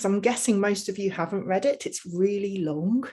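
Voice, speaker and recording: In a quiet background, a woman with a medium pitch and a dark, mellow tone speaks at a moderate pace with fairly even intonation. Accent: English Midlands. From England, Leicestershire. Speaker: mental health researcher and advocate. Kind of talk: presentation.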